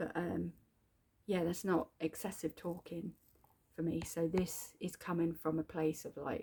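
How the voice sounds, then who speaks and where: Speaking fairly slowly with a British accent, a woman uses a fairly low, somewhat breathy voice with a dark, mellow tone and ordinary pitch variation. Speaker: video diary vlogger. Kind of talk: personal video journal. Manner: halting, with fillers.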